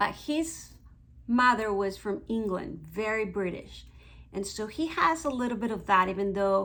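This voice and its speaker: With a Mexican accent, a woman speaks at a fairly slow pace amid audible room echo. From Mexico. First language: Spanish. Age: 50s. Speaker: beauty vlogger. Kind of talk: casual vlog monologue.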